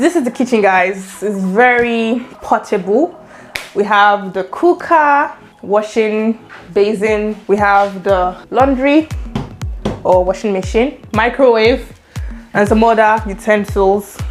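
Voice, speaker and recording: A woman's fairly high voice at a very slow pace, with music in the background. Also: ordinary pitch variation. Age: 20s. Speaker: YouTuber, international student. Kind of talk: casual talk to camera, room tour.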